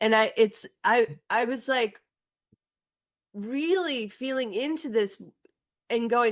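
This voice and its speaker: In a very clean recording with a silent background, a woman speaks very slowly at a high pitch. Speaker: podcast co-host and relational coach. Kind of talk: casual chat.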